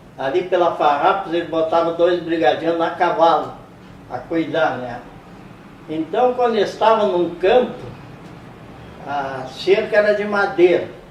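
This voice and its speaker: At a fairly slow pace with long, frequent pauses, a man with a high pitch and ordinary pitch variation speaks amid noticeable background noise and audible room echo. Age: 80s+. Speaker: interviewee, old football fan. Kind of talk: interview, reminiscing.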